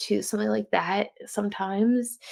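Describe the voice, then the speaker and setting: You can hear a woman talking. Her accent is American. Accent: New Jersey accent, getting thicker. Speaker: podcast host. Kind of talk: casual solo podcast talk. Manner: casual, halting with self-corrections.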